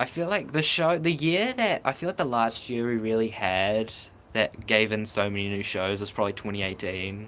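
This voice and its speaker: Speaking at a moderate pace in a New Zealand accent, a man with a medium pitch, lively intonation and an animated tone comes through on a very clean recording with a silent background. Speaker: streamer. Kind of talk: live stream chat. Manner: casual, animated.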